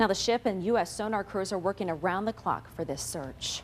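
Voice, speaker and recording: A woman speaks at a fairly quick pace with lively intonation. Hers is an unremarkable speaking voice. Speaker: television news anchor and reporter. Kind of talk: TV news anchor read, newscast headlines and tease. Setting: television studio newsroom.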